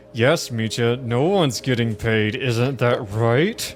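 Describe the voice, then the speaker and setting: Using a put-on character voice, a man sounds strained at a medium pitch. He goes at a fairly slow pace over clear background noise. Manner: through gritted teeth, strained.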